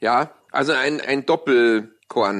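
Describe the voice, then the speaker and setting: A man with a Bavarian accent, medium pitch, ordinary pitch variation, and a quiet background. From Munich, Bavaria. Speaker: radio host. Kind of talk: casual chat. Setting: at home with windows open.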